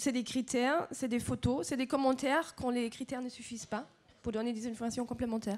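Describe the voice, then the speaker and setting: Her pitch high, a woman speaks at a fairly quick pace with fairly even intonation. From Germany. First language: German (speaking French). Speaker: association representative. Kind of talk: panel presentation.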